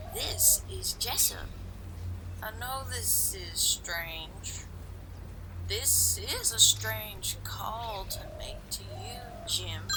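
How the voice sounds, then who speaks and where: A female-sounding put-on character voice at a very slow pace over loud background noise. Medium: audio drama.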